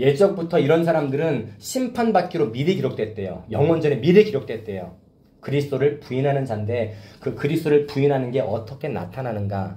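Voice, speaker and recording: Loud and at a fairly high pitch, a man talks at a fairly quick pace with very wide pitch swings. Audible room echo surrounds his voice. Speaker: pastor. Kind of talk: sermon. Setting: church youth service with two students.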